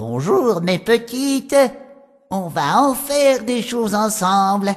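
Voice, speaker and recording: Using a put-on character voice, a woman speaks at a fairly slow pace and a fairly high pitch. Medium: read story. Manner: theatrical, incantatory.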